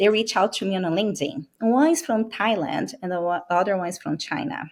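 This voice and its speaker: The speaker has a Brazilian accent and very wide pitch swings. The pace is fairly quick. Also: woman, medium pitch for a woman. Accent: Brazilian accent, noticeable. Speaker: medical sales rep. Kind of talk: interview podcast.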